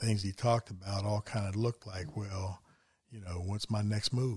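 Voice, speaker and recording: On a very clean recording with a silent background, a man with an American accent sounds somewhat breathy and keeps his intonation fairly even. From West Virginia. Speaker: foster and adoptive parent. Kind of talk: casual chat.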